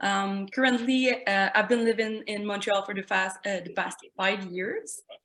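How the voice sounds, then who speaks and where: At a fairly slow pace, a woman with a Quebec accent speaks at a medium pitch with fairly even intonation and big swings in loudness. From Quebec City, Canada. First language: French. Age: 20s. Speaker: glass artist. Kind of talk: artist presentation. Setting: video call.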